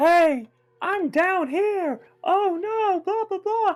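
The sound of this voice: A squeaky, put-on character voice at an extremely high pitch and very slow pace, with faint music in the background.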